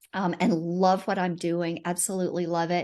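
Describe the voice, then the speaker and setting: A woman speaks in a Southern US accent at a fairly low pitch. Her intonation stays fairly even against a quiet background. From US South. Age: 50s. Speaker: financial coach, retired pharmacist. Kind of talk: casual chat.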